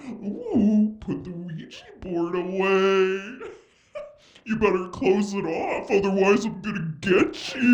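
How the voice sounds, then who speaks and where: In a put-on character voice of middle pitch, the speaker takes a menacing tone at a fairly slow pace. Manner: spooky, menacing.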